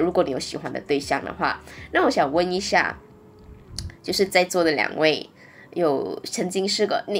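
A woman's fairly low voice with lively intonation at a moderate pace, music in the background. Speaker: podcast host. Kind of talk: casual chat. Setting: at home in isolation.

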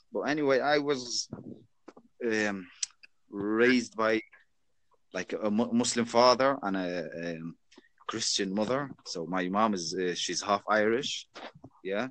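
Fairly slow speech in an Arabic accent, broken by long, frequent pauses, with ordinary pitch variation. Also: man, medium pitch for a man. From Jordan. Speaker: chat stranger. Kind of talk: casual chat.

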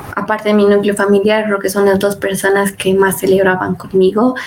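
A woman talks at a fairly quick pace with ordinary pitch variation, and there is noticeable background noise. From Bolivia. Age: 20s. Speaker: student tech community leader. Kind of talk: interview.

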